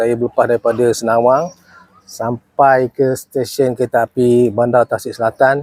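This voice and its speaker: Dry and close with no echo, a man's dark, mellow voice moves at a fairly slow pace and medium pitch with monotone, flat intonation. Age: 60s. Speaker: retired police officer and volunteer preacher. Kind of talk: casual testimony. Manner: halting, many fillers.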